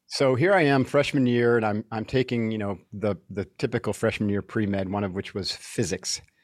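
A man with a normal speaking voice and a fairly low pitch talks at a moderate pace, with ordinary pitch variation and hardly any pauses. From upstate New York. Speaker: retired Navy SEAL and author. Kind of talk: interview.

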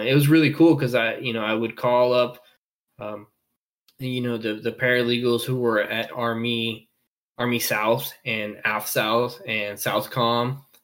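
In an American accent, a man with an unremarkable speaking voice talks at a fairly slow pace and medium pitch with fairly even intonation. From Colombia-born, raised in the US from age three. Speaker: Air Force paralegal. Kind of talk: casual interview.

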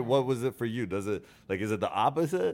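Here a man speaks in an ordinary speaking voice. He moves at a fairly quick pace with ordinary pitch variation. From Norway, then Canada. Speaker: podcast host. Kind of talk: casual chat. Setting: studio.

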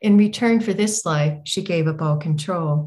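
Somewhat breathy, a woman with an American accent talks at a fairly slow pace with ordinary pitch variation. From Northern California. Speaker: author. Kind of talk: reading aloud. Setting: stage with audience.

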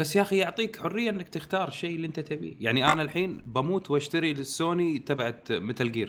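A man with an ordinary speaking voice talks at a fairly quick pace in a fairly high pitch, using lively intonation and hardly any pauses. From Kuwait. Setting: remote call with group.

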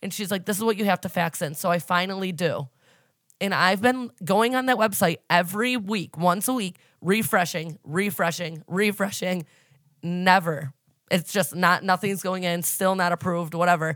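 On a very clean recording with a silent background, the voice has an animated tone, ordinary pitch variation and a moderate pace. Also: woman, medium pitch for a woman. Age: 30s. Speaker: podcast host. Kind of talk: casual chat.

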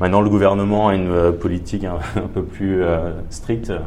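Noticeable background noise and audible room echo surround a man talking at a moderate pace in a very deep, low voice. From Paris, France. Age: 30s. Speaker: entrepreneur. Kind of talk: interview. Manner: hesitant, many fillers.

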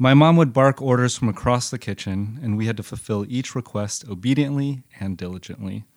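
A man with an American accent talks at a moderate pace. The recording is very clean, with a silent background. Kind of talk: reading aloud personal essay.

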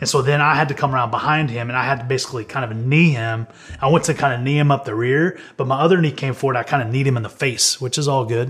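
A man rattles along at a very fast pace with hardly any pauses, his medium-pitched voice held to fairly even intonation. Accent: Texan. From Texas, Amarillo. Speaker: Olympic wrestler. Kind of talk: interview storytelling.

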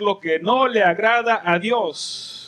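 A man with lively intonation. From El Salvador. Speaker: pastor. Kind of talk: sermon. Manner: animated.

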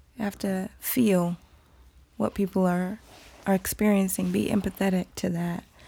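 A woman's somewhat breathy voice, medium in pitch with a dark, mellow tone, monotone and flat, at a moderate pace with long, frequent pauses, on a very clean recording with a silent background. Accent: American. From US South, Atlanta, Nigerian family. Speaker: yoga teacher and wellness entrepreneur. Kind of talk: casual interview chat.

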